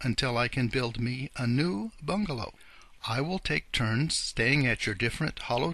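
What we hear is an unforced reading voice.

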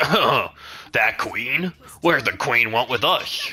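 In a put-on character voice, the speaker goes at a very slow pace with a middle pitch. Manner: in-character.

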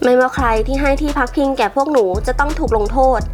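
Over music in the background, a woman talks in a high voice. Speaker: movie recap narrator. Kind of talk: animated film plot recap narration. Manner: friendly, casual.

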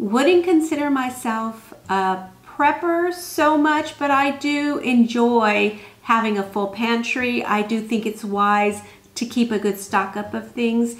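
At a very slow pace, a woman speaks with lively intonation. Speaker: homemaking vlogger. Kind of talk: casual vlog chat. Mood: earnest, reflective. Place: home room.

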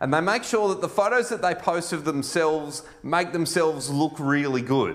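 Talking at a moderate pace with hardly any pauses, a man uses a fairly high pitch and ordinary pitch variation. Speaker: pastor and school chaplain. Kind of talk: sermon. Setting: church. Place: church. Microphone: lapel.

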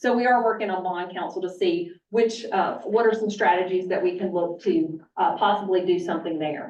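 A woman's voice carries audible room echo. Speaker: college finance officer. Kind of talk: budget presentation to board. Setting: board meeting retreat. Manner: fast.

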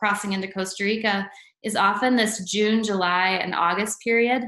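A woman speaks fairly slowly with fairly even intonation, her voice carrying audible room echo over a quiet background. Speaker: presenter. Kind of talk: webinar presentation. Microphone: webcam.

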